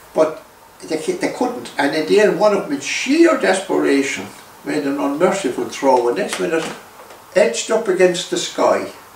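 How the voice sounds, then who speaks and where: In an Irish accent, a man talks at a moderate pace. Audible room echo and light background noise surround him. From Ireland. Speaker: former Irish republican activist. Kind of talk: interview storytelling. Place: home room. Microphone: camera far.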